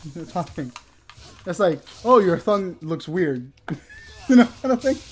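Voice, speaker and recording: A man's high-pitched voice with very wide pitch swings at a moderate pace, over noticeable background noise. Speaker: gaming YouTuber. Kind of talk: casual chat. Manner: animated.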